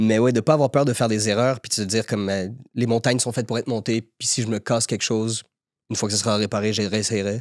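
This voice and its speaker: A man talks very fast at a medium pitch, with fairly even intonation and long, frequent pauses. The recording is very clean with a silent background and a dry, close sound with no echo. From Quebec, Montreal (Saint-Léonard). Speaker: actor. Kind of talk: podcast interview. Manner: hesitant, repeats words.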